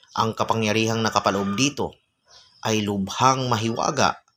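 An unremarkable speaking voice comes through here, its pitch varying in an ordinary way. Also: man. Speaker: folk magic YouTuber. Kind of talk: reading viewer comments and teaching spells.

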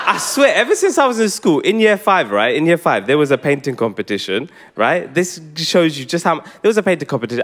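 A man talks at a very fast pace with very wide pitch swings and vocal fry. The background is quiet. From England. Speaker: stand-up comedian. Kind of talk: live stand-up comedy set. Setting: theatre stage, live audience. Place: stage. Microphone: handheld.

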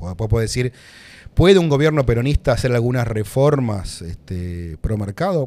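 With a dark, mellow tone, a man talks at a fairly quick pace using lively intonation. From Buenos Aires, Argentina; Argentina. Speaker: economist and politician; podcast guest. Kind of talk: interview conversation. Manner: hesitant, many fillers. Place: studio. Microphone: studio mic.

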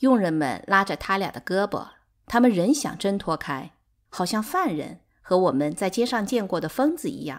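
A woman with a medium pitch sounds animated, her voice making very wide pitch swings. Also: moderate pace. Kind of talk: literary audiobook reading, dramatized narration. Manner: animated, shifting between narrator and quarreling characters.

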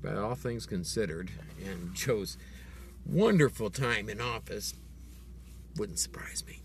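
A man with a very deep, low pitch, very wide pitch swings, vocal fry, big swings in loudness and long, frequent pauses, in a dry sound with no echo over light background noise. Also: fairly slow pace. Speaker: video blogger. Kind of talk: angry political rant, direct-to-camera monologue. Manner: indignant, sarcastic, pointed; emphatic, accusatory, rhetorical questions. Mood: indignant, opinionated. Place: car. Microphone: phone near.

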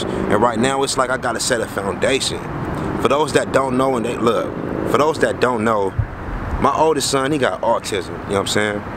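A man at a fairly quick pace, dry with no echo, over loud background noise. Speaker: vlogger. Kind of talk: casual vlog chat. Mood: reflective, earnest. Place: street. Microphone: phone near.

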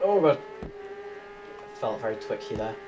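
Moderate pace from a male speaker, noticeable background noise behind him. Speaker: gamer. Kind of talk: gameplay commentary. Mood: lightly frustrated, joking. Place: home room.

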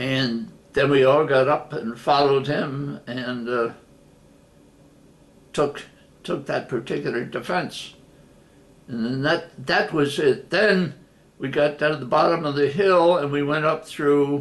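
Very slow and broken by long, frequent pauses, a man's speech unfolds. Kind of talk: personal storytelling interview. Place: home room. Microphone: webcam.

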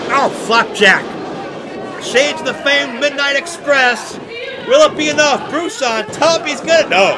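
At an extremely high pitch, a man uses a raised, projected voice with lively intonation and a fairly slow pace. Noticeable background noise is present. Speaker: wrestling play-by-play commentator. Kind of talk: live commentary. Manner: animated.

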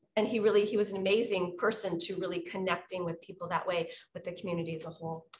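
Over light background noise, a woman speaks at a very fast pace in a somewhat breathy voice. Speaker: conference content director. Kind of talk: casual chat. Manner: animated. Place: office. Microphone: webcam.

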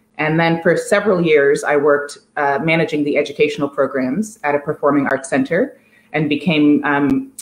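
Her pitch very deep and low, a woman with an American accent talks at a fairly quick pace with audible room echo. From US, Washington D.C. area. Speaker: art curator. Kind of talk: conversational interview. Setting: empty apartment, video call. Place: home room. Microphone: video call.

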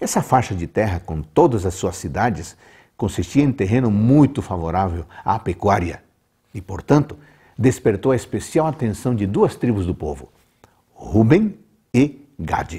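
Against a quiet background, a man with a fairly low pitch and a dark, mellow, somewhat breathy tone speaks fairly slowly with very wide pitch swings. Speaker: presenter. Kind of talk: devotional Bible commentary. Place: home room. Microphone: lapel.

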